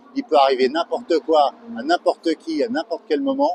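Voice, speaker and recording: Over music in the background, the voice moves at a moderate pace with very wide pitch swings, in a dry, close sound with no echo. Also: man. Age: 60s. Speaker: amateur racing driver. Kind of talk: interview.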